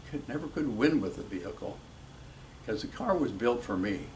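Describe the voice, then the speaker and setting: A man speaks at a medium pitch. There is audible room echo. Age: 80s+. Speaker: retired drag racer. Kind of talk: interview.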